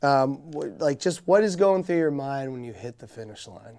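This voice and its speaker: Here is a man with a plain, everyday voice, fairly high in pitch. He goes at a fairly quick pace with ordinary pitch variation. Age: 30s. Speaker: podcast host. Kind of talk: casual interview chat.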